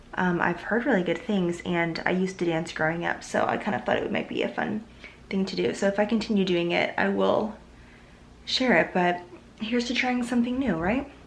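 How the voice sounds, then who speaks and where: With an American accent, the speaker moves at a fairly quick pace with lively intonation and very even loudness, amid noticeable background noise and audible room echo. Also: woman, medium pitch for a woman. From US Pacific Northwest, Seattle area. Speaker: lifestyle vlogger. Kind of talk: casual vlog talk to camera. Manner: casual, many fillers.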